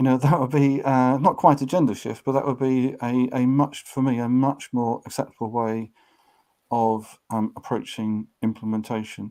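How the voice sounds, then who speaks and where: On a very clean recording with a silent background, a man with a British accent speaks at a moderate pace in a dark, mellow tone, his medium pitch held in fairly even intonation. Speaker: author and organizational change trainer. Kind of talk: interview.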